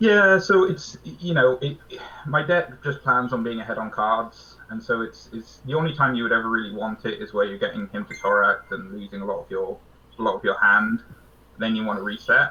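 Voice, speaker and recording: Speaking with a British accent, a man keeps a fairly quick pace. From Britain. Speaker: card game player. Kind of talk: casual interview.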